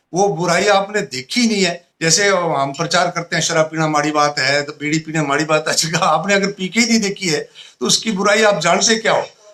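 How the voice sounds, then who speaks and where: A man talks in a raised, projected voice with a bright, sharp tone. His pace is moderate and his pitch varies in an ordinary way. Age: 60s. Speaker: retired teacher and poet. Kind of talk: interview.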